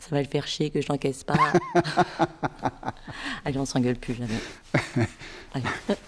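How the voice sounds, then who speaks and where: A woman speaks in a very deep, low voice with a playful tone. She goes at a fairly slow pace, with long, frequent pauses. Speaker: actress. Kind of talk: acting demo reel scenes. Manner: playful, casual.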